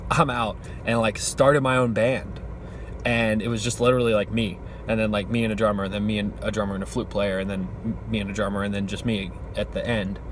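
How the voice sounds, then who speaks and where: Amid noticeable background noise and audible room echo, a man with a fairly low pitch speaks in an animated tone at a very fast pace. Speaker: vlogger living in his car, musician and web designer. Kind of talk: casual vlog monologue.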